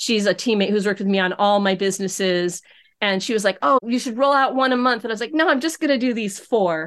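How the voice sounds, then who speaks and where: In a quiet background, a woman with an American accent speaks in a plain, everyday voice at medium pitch, with ordinary pitch variation. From upstate New York. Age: 60s. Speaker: embroidery business owner. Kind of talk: casual interview.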